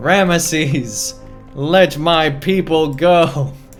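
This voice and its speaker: A man's put-on character voice, fairly high-pitched and very slow, with clear music in the background. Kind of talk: theatrical. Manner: declaiming at full volume.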